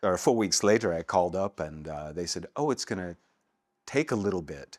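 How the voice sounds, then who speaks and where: A man with an American accent speaks at a fairly quick pace in a very deep, low voice with lively intonation. The sound is dry with no echo, and the recording is very clean with a silent background. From United States. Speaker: voice actor. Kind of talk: interview answer. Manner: casual, relaxed.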